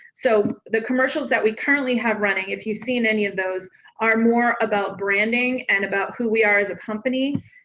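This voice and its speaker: The woman has a plain, everyday voice at a fairly high pitch. She keeps a moderate pace and fairly even intonation. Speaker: marketing director. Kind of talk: presentation at live company meeting.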